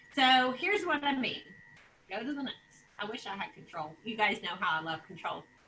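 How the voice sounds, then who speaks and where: A woman projects a raised, high-pitched voice with a bright, sharp tone and very wide pitch swings. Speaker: real estate office leader. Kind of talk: sales meeting presentation. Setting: video call. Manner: loud.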